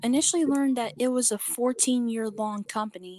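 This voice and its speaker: A woman's high, calm voice at a moderate pace, with ordinary pitch variation. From Haiti. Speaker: speech pathologist and finance partner. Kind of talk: interview.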